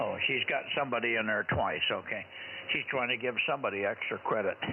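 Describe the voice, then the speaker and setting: Over noticeable background noise, a man at medium pitch talks with ordinary pitch variation. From Wisconsin. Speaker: ham radio net control. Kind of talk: casual chat. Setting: radio transmission. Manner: halting.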